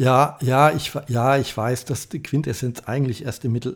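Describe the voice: Raspy and medium in pitch, a man talks at a moderate pace with fairly even intonation.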